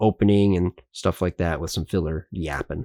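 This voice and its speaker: A man speaks quietly, at a moderate pace, in a dark, mellow tone. The recording is very clean and dry, close, with no echo and a silent background. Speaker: YouTuber, card collector. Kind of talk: unboxing video commentary.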